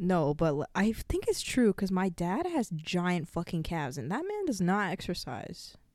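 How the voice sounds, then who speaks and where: In a normal speaking voice, a woman talks at medium pitch and a moderate pace with lively intonation and hardly any pauses, on a very clean recording with a silent background. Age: 20s. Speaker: college student podcast co-host. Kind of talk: casual chat.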